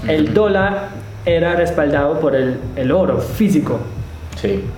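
A man with a German accent speaks amid noticeable background noise and audible room echo. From Germany. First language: German (speaking Spanish). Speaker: podcast co-host, crypto entrepreneur. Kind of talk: casual chat.

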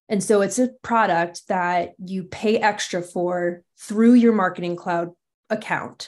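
An unremarkable speaking voice with fairly even intonation comes through over a quiet background. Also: woman. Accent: American. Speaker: marketing technology architect. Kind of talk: interview.

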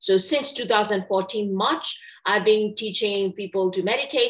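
A woman with a Burmese accent speaks at a moderate pace and a medium pitch. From Myanmar. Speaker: meditation teacher. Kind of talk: interview. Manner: halting.

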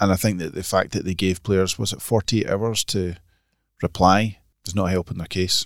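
A man's Scottish accent in a very clean recording with a silent background. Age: 40s. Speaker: golf magazine editor. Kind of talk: casual chat. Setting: studio.

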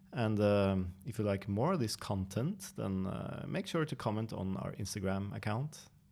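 A man with a Norwegian accent talks in a fairly low voice with hardly any pauses, on a very clean recording with a silent background. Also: ordinary pitch variation, moderate pace. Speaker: coffee company podcast host. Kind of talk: casual interview.

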